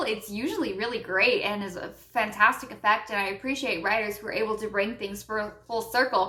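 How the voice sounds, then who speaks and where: A woman's animated, fairly quick speech with ordinary pitch variation over noticeable background noise. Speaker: YouTube commentator. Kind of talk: rant.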